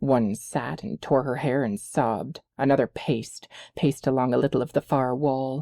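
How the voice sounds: Against a quiet background, there is a natural reading voice with fairly even intonation.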